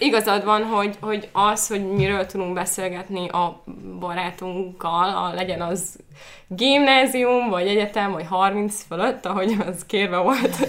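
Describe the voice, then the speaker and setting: An ordinary speaking voice from a woman, fairly slow, with ordinary pitch variation. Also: medium pitch for a woman. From Slovakia, then Győr, Hungary. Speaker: psychology researcher. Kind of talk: casual chat.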